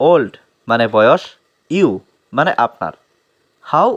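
This man's voice sits fairly high for a man, with vocal fry and very wide swings in pitch, recorded with a dry, close sound and no echo. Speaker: English teacher. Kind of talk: tutorial.

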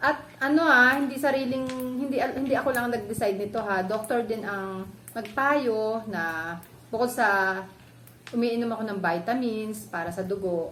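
Speaking at a moderate pace with ordinary pitch variation, a woman with a fairly high pitch is heard amid audible room echo and noticeable background noise. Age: 40s. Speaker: vlogger. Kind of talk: tutorial. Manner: casual, halting with fillers.

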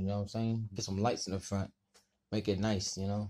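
A man speaks with a dark, mellow tone. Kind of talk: casual vlog chat. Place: garage. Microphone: phone near.

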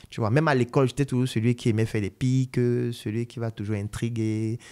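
With a quiet background behind him, a man speaks at a fairly quick pace in a dark, mellow tone, his pitch medium and his intonation fairly even. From Cameroon (Yaoundé); Cameroon. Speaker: doctor and entrepreneur, online educator; podcast guest. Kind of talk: podcast interview. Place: studio. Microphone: studio mic.

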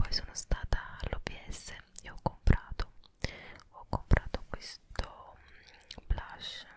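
Whispering very slowly, a woman leaves long, frequent pauses as her loudness swings widely. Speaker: ASMR creator. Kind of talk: ASMR shopping haul. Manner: whispered. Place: home room. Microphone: handheld.

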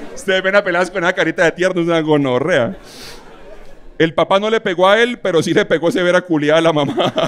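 A man with a high-pitched voice talks at a fairly quick pace over light background noise. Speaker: roast comedian. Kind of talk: roast stand-up, insult comedy. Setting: stage with audience. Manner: irreverent, brash, biting. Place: stage. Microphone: handheld.

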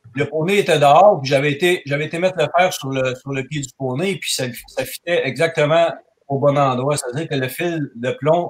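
A man with a Quebec accent speaks at a moderate pace in a fairly high pitch. His intonation is fairly even and his voice somewhat breathy. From Quebec, Canada. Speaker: farrier. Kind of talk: technical discussion. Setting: video call.

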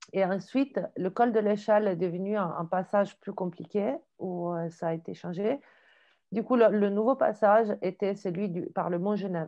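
In an Italian accent, a woman speaks at a moderate pace with ordinary pitch variation against a quiet background. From Italy, Genoa; Italy. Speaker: photojournalist. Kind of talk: video call discussion. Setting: video call. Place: home room. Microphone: earbuds.

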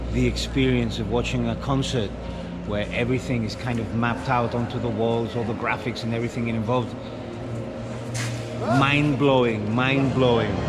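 A man speaks at a moderate pace. Loud background noise runs underneath. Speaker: travel vlogger. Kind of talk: casual vlog chat. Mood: amazed, enthusiastic. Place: tunnel cave. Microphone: phone near.

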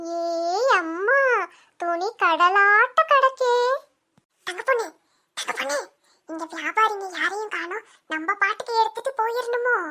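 A woman's squeaky, put-on character voice at an extremely high pitch, with lively intonation and a very slow pace. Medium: comedy sketch. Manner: plain-spoken, fussing.

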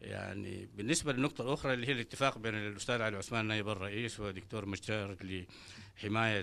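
Bright and sharp in tone, a man speaks with ordinary pitch variation. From Sudan. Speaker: political party representative; panelist. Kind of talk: panel discussion. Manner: hesitant, with filler sounds. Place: meeting room. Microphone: handheld.

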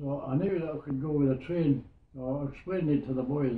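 Somewhat breathy, a man speaks with a Scottish Borders accent and fairly even intonation, with audible room echo. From Scotland, Hawick in the Borders; Scotland. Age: 90s. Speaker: war veteran. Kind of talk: interview storytelling. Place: home room. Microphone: camera far.

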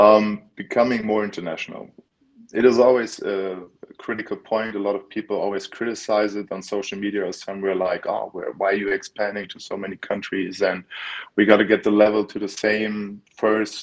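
Against a quiet background, a man with a German accent speaks in a monotone, flat intonation, with big swings in loudness. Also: fairly low pitch for a man. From Germany, Berlin; Germany. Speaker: American football player; guest. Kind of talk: interview. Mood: relaxed, earnest. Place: home room. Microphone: video call.

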